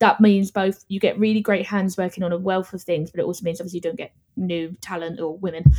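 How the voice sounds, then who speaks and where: A woman with a London accent, very fast, medium-pitched, dark and mellow in tone, with fairly even intonation. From London, England. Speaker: podcast guest and movie reviewer. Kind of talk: casual chat. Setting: Ireland.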